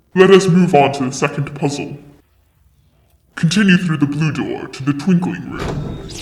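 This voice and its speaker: A man uses a put-on character voice, fairly high in pitch, speaking at a moderate pace with long, frequent pauses and a slight echo. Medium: fan dub. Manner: formal, measured.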